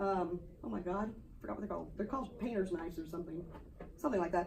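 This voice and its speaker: Speaking at a very fast pace with lively intonation, the voice carries audible room echo. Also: woman. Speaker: art teacher. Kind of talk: classroom demonstration. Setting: classroom. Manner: casual.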